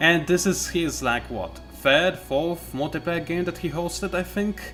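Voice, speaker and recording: The voice moves at a fairly slow pace with music in the background. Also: man. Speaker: gamer. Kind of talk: live gameplay commentary.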